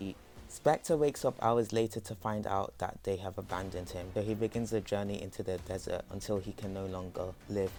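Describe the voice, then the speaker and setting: A man's fairly low voice, showing ordinary pitch variation, carries over music playing in the background. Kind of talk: comic character backstory narration. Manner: fast; nervous.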